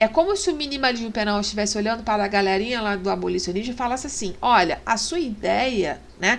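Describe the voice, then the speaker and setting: A woman talks at a very fast pace with vocal fry and hardly any pauses, and audible room echo surrounds her. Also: fairly high pitch for a woman, ordinary pitch variation. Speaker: law teacher. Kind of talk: lecture. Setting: online class with screen share. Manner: hesitant, many fillers.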